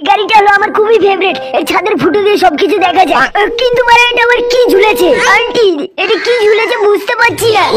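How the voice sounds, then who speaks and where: A man does a cartoonish character voice at an extremely high pitch. He talks at a moderate pace over loud background noise. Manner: crude, swearing, excitable.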